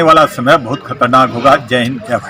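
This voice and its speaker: A man's voice over noticeable background noise. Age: 60s. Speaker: local political leader. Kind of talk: press statement.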